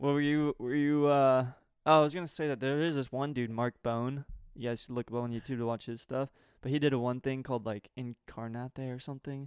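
This man has an unremarkable speaking voice, medium in pitch, with an American accent and fairly even intonation. He talks at a fairly quick pace, and the sound is dry and close with no echo over a quiet background. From US South. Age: 20s. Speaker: podcast co-host. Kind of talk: casual chat.

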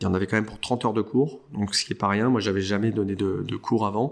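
In a very clean recording with a silent background, a man speaks with a fairly low pitch and monotone, flat intonation. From Paris suburbs (Saint-Cloud), France. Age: 40s. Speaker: lawyer. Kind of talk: casual chat. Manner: halting, many repetitions and hesitations.

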